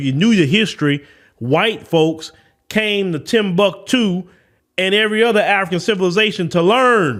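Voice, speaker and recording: A man with a Southern US accent, animated tone and lively intonation at a moderate pace. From US South. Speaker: podcast host. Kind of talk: opinion commentary.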